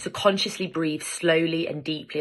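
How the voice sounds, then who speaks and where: With a bright, sharp tone, a woman speaks very fast at a very deep, low pitch in a monotone, flat intonation. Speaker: lawyer and mental health vlogger. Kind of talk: advice vlog.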